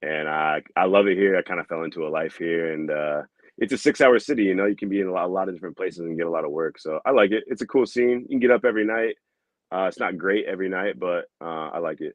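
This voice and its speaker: A man's very deep, low voice in a Midwestern US accent, very fast, with ordinary pitch variation. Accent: US Midwest. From Iowa, Des Moines. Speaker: comedian. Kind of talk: casual chat. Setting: podcast.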